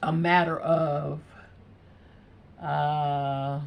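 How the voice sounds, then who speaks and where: A woman speaks in a relaxed tone. Audible room echo surrounds her voice. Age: 60s. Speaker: beauty vlogger. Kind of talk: casual chat. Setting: home.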